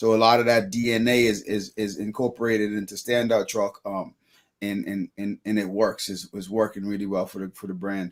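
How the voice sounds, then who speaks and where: This man talks fairly quickly in a strong Bahamian accent. His pitch is fairly low and his intonation monotone and flat. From Bahamas (Freeport). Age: 30s. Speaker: business owner. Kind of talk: interview. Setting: live show.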